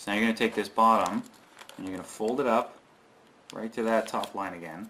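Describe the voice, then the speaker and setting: At a fairly quick pace, the speaker uses a plain, everyday voice with fairly even intonation. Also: man, medium pitch for a man. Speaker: origami tutorial youtuber. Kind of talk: tutorial.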